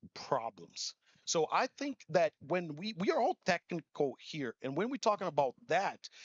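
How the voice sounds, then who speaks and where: In a Portuguese accent, a man speaks at a fairly slow pace and fairly high pitch, with lively intonation and an animated tone. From Brazil. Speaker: conference speaker. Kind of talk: keynote talk. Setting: stage with audience.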